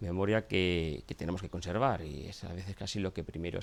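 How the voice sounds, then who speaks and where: This man speaks very fast. His voice shows normal pitch movement. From Asturias, Spain. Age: 40s. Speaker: local historian and documentary scriptwriter. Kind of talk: documentary interview.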